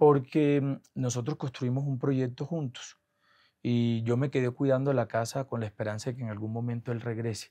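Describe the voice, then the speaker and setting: With a quiet background, a man speaks at a moderate pace and medium pitch, his tone dark and mellow and his intonation fairly even. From Colombia, Caribbean coast (Atlántico). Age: 40s. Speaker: government comptroller. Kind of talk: interview.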